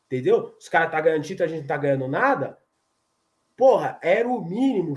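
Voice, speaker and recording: Pitch moves in an ordinary way here. The sound has a somewhat breathy quality. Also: man. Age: 30s. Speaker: football fan channel host. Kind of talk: casual post-match live chat. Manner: animated, repetitive.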